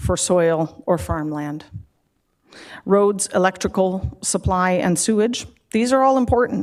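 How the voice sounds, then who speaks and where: A woman has a normal speaking voice at medium pitch with ordinary pitch variation, talking at a fairly slow pace. The recording is very clean, with a silent background. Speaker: public delegate at council meeting. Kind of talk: public meeting delegation.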